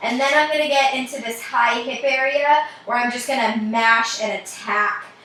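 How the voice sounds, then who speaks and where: A woman at a moderate pace with fairly even intonation and audible room echo. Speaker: mobility coach. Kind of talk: tutorial. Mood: relaxed, playful. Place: home room. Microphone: camera far.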